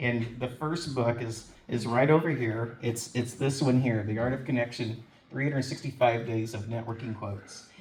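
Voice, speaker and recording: Amid noticeable background noise and audible room echo, a man speaks fairly quickly at medium pitch with fairly even intonation. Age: 60s. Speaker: author and networking event organizer. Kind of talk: speech at a book signing event. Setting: live event room with audience. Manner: halting, many repeated words.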